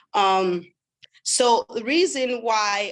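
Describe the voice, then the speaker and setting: The speaker is a woman. She talks with a French accent. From Sweden, raised partly in West Africa (Liberia, Ivory Coast). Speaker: webinar host. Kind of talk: sales pitch webinar.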